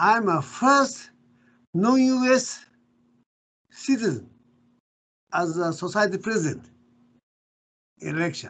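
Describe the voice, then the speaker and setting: Moving at a fairly slow pace, a man speaks with very wide pitch swings. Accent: Japanese. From Japan. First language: Japanese. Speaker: professor. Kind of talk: interview. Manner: halting.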